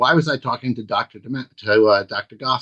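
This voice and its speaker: A man's medium-pitched voice in a bright, sharp tone, with lively intonation at a fairly quick pace. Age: 60s. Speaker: anti-nuclear activist and author. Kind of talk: talk to online audience. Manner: halting, many fillers and repeats.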